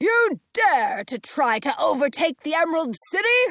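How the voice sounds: A put-on character voice at an extremely high pitch, moderately paced, with very wide pitch swings.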